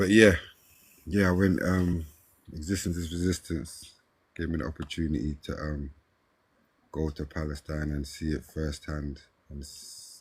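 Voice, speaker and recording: A man with a South London accent and a very deep, low pitch, somewhat breathy, at a moderate pace with long, frequent pauses and fairly even intonation. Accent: South London twang. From South London, Brixton. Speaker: hip-hop artist. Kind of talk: casual interview.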